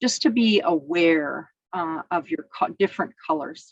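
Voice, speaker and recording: A woman talks at a fairly slow pace in a fairly low pitch. Her pitch varies in an ordinary way, and the sound is dry and close with no echo. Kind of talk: presentation. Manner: loud.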